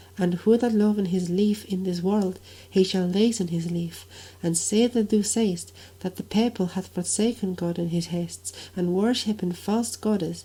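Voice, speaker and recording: Speaking fairly slowly, a woman has a somewhat breathy voice with a dark, mellow tone. Her pitch is medium and her intonation fairly even. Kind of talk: Middle English reading of a medieval dialogue.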